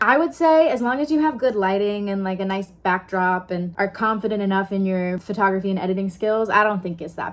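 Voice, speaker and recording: This woman has an American accent and a medium-pitched voice. She talks at a fairly quick pace. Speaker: actor and vlogger. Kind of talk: casual vlog. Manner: animated.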